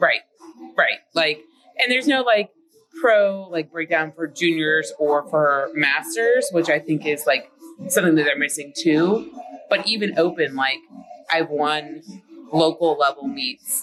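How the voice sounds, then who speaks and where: Over music in the background, a woman speaks at a fairly slow pace and fairly low pitch with lively intonation and long, frequent pauses. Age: 40s. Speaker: powerlifter and meet director. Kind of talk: interview. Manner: casual with many fillers.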